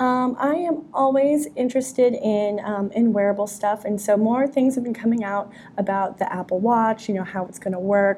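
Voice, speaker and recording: With an unremarkable speaking voice, a woman at fairly high pitch talks at a moderate pace with hardly any pauses and ordinary pitch variation. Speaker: tech journalist and podcast co-host.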